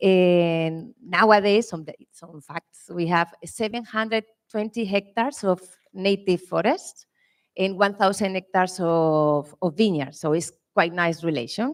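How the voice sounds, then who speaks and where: The speaker has a strong Spanish accent and a fairly slow pace. Loudness swings widely. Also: woman, medium pitch for a woman, ordinary pitch variation, dry, close sound with no echo. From Spain. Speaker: winemaker. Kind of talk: panel presentation.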